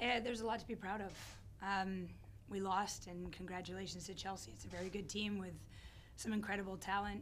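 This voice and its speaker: A woman puts on a hoarse character voice at medium pitch, talking at a fairly quick pace over clear background noise. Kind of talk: press conference answer. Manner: gracious, measured. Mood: gracious after a loss.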